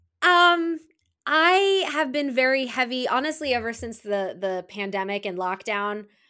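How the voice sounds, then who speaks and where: A woman's raised, projected voice, high in pitch with very wide pitch swings and a bright, sharp tone, at a fairly slow pace on a very clean recording with a silent background. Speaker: film podcaster. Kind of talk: casual chat.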